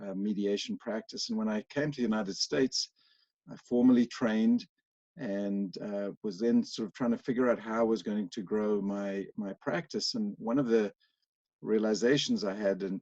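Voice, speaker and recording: Dry and close with no echo, the recording captures a man's dark, mellow voice in a South African accent at a moderate pace. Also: fairly low pitch for a man, ordinary pitch variation. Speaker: workplace mediator. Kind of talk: interview.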